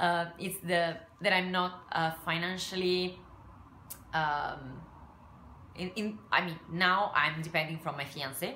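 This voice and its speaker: A woman with an Italian accent at a fairly low pitch, fairly slow and marked by long, frequent pauses, with ordinary pitch variation and audible room echo. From Italy. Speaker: craft and scrapbooking YouTuber. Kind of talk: casual vlog talk to camera. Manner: halting, many fillers.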